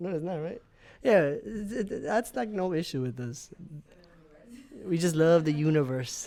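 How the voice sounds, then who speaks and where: A loud man's high-pitched voice, dark and mellow in tone, with lively intonation at a moderate pace. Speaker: podcast guest. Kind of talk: casual chat. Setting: studio.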